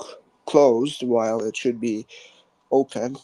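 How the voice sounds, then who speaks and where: A quiet man with a dark, mellow tone talks at a fairly slow pace with fairly even intonation, the sound dry and close with no echo. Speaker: radio show host. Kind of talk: casual radio talk.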